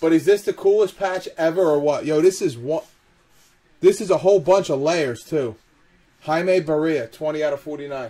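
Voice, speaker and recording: A man speaks at a high pitch with ordinary pitch variation. His tone is dark and mellow. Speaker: card break host. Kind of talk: live card break stream. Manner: animated.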